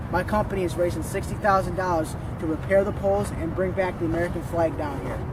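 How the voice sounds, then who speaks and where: A high-pitched man at a very fast pace, with ordinary pitch variation, audible room echo and noticeable background noise. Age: 20s. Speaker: student and youth activist. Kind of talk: scripted self-introduction.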